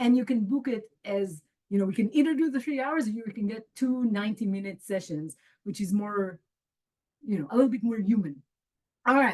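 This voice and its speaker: A woman with a fairly high, somewhat breathy voice talks at a fairly quick pace with lively intonation, broken up by long, frequent pauses. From Israel. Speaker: human design teacher. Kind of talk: live group call. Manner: casual, halting.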